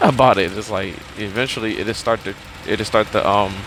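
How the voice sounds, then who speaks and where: A man's fairly low-pitched voice at a moderate pace, over noticeable background noise. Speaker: vlogger. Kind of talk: casual monologue. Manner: halting.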